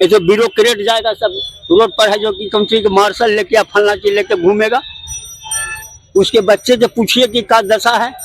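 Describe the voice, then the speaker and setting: A man speaks at a high pitch at a moderate pace, with ordinary pitch variation. Noticeable background noise is present. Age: 70s. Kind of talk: street interview answer. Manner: emphatic, argumentative.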